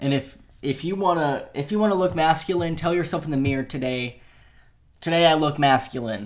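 A normal speaking voice, fairly quick, with ordinary pitch variation. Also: man, fairly high pitch for a man. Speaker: podcast host. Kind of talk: casual chat. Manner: filler-heavy, chatty.

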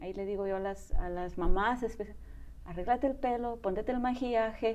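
A woman of medium pitch speaks at a moderate pace, with audible room echo around her. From Spain. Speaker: bodybuilder and mother. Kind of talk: interview testimony.

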